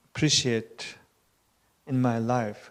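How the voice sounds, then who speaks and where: The speaker is a man. He talks with a Tibetan accent. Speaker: Buddhist teacher. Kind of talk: conversation. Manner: halting.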